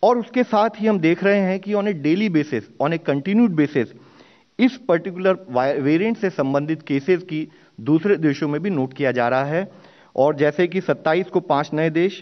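A man talks fairly slowly. Behind him the background stays quiet. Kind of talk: press briefing statement. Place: hall. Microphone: podium.

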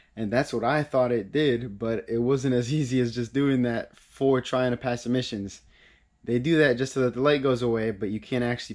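Over a quiet background, a man speaks at a fairly quick pace. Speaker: car hobbyist vlogger. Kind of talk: casual vlog chat. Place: garage. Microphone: camera far.

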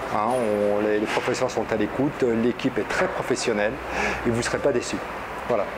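Over loud background noise, a man speaks at a fairly quick pace but leaves long, frequent pauses. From France. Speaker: student of Arabic giving testimonial. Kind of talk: video testimonial review. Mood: positive, calm. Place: office. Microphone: lapel.

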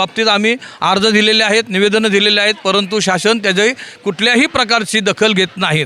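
A raised, projected voice with fairly even intonation over noticeable background noise. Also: man. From Mumbai, Worli. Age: 60s. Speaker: political party activist. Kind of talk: on-location interview. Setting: outdoors at a sports ground.

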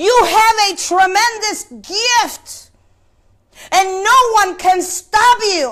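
In a quiet background, a woman speaks at an extremely high pitch with a bright, sharp tone. Her intonation is lively, and her pace is very slow. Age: 50s. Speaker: preacher. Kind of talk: sermon. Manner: halting, with many repetitions. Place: church. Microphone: lapel.

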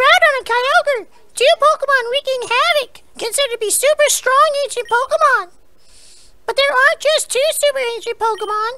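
In a put-on character voice of extremely high pitch, the speaker delivers lines at a moderate pace. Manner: dopey.

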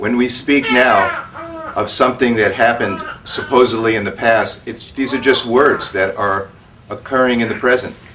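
A man at a moderate pace, his intonation fairly even, over noticeable background noise. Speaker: spiritual teacher. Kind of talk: satsang talk. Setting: stage with audience. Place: home room.

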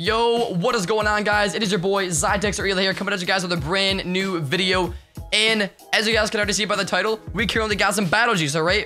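A man's high-pitched, raised, projected voice, energetic in tone, with faint music in the background. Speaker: YouTuber and streamer. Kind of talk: casual slang. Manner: very fast talker; energetic, hyped. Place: home room. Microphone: studio mic.

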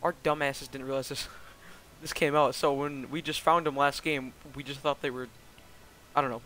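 A man's bright, sharp tone at a very fast pace, dry with no echo. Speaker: gamer. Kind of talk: casual gameplay commentary.

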